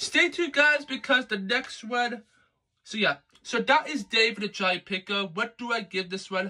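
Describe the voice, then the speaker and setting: Against a quiet background, a man with an extremely high pitch projects a raised voice at a moderate pace, his tone bright and sharp and his intonation lively. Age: young. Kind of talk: casual video review. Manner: halting, many fillers. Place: home room. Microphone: phone near.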